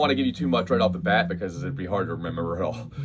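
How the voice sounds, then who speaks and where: Music in the background beneath a man's speech, its pitch swinging very widely. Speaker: guitar teacher. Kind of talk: recorded video lesson. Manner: fast; casual, halting.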